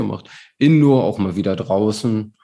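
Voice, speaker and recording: His voice is fairly low-pitched with a dark, mellow tone, and this man uses ordinary pitch variation. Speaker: amateur endurance athlete, podcast host. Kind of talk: casual chat. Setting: remote call.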